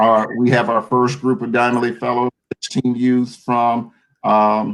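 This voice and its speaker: At a fairly slow pace, a man speaks at a medium pitch with ordinary pitch variation and very even loudness. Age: 60s. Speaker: professor. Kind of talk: casual chat.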